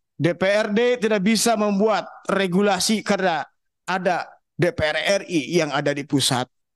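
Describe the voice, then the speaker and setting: A loud man with a high-pitched voice speaks at a moderate pace with ordinary pitch variation. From West Java, Subang (Sundanese region). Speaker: honorary teachers' association representative. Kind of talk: formal public hearing speech. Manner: somewhat loud, forceful tone.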